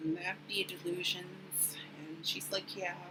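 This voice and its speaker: Quiet and at a very slow pace, a woman speaks at a fairly low pitch over noticeable background noise. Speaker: vlogger sharing mental health update. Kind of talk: personal vlog. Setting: recording at home at the computer. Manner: quiet, subdued; hesitant, many fillers.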